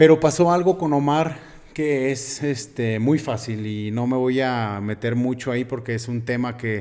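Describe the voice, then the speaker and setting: A man with a medium pitch speaks at a fairly slow pace, his intonation fairly even. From Mexico, Aguascalientes (Jesús María). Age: 30s. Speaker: bodybuilder and nutrition student. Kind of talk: interview conversation.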